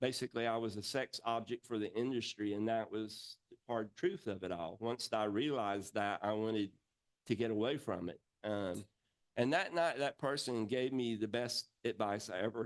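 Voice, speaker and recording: A man with an American accent speaks in a normal speaking voice at medium pitch, with ordinary pitch variation and a moderate pace. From rural Georgia, US South. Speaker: entertainer, puppeteer. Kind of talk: talk to an audience.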